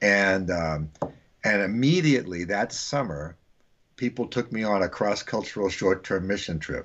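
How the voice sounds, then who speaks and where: A man talks in a normal speaking voice at a moderate pace, with a fairly low pitch and ordinary pitch variation. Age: 60s. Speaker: missions teacher and author. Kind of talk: podcast interview.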